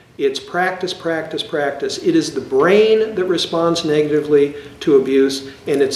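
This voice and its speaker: With ordinary pitch variation, a man talks in a space with audible room echo and noticeable background noise. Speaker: psychologist. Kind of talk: educational lecture. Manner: hesitant, frequent fillers and repetitions.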